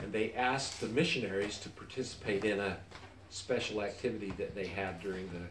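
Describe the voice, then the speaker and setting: Noticeable background noise sits behind a man's fairly low voice. He speaks at a moderate pace with fairly even intonation. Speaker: retired church missionary. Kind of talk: family interview answer. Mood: reflective, sentimental. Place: home room. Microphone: camera far.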